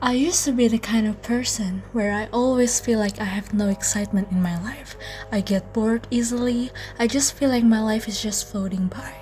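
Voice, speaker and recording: A non-native accent with fairly even intonation, backed by music in the background. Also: woman, fairly high pitch for a woman. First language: not English. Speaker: lifestyle and faith vlogger. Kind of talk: casual talk to camera.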